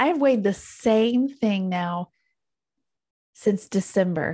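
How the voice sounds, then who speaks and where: Her tone dark and mellow, a woman speaks with lively intonation and a somewhat breathy sound, leaving long, frequent pauses. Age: 40s. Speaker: podcast co-host. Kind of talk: casual chat.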